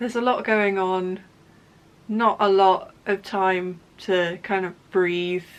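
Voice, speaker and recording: A woman at medium pitch speaks with a Somerset accent. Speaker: knitting podcaster and yarn dyer. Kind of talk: casual chat. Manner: halting, many fillers and restarts.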